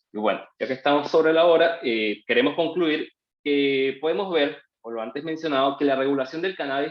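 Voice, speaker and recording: A man talks in a plain, everyday voice at a fairly quick pace. His pitch is fairly high, with ordinary pitch variation. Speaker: lawyer. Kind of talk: webinar presentation.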